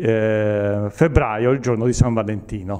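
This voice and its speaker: A man with a dark, mellow tone at a very slow pace, against a quiet background. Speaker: event organizer. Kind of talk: interview answer. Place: hall. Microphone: handheld.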